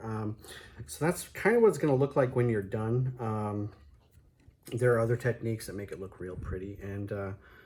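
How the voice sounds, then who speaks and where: A man speaks at a fairly quick pace in a medium-pitched, somewhat breathy voice with ordinary pitch variation. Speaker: fireworks hobbyist. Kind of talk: tutorial. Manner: hesitant, many fillers.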